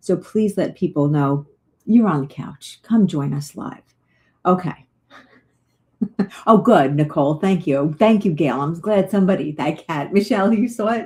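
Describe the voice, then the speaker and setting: Somewhat breathy and dark, mellow in tone, a woman with a fairly low pitch speaks with lively intonation and long, frequent pauses. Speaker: psychic medium. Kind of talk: live stream chat. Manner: fast; animated.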